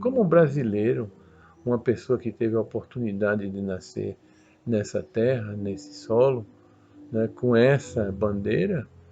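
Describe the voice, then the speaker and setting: Here a man speaks at a fairly slow pace and fairly low pitch. His tone is dark and mellow, with ordinary pitch variation. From Brazil. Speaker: spiritist lecturer. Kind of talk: religious talk.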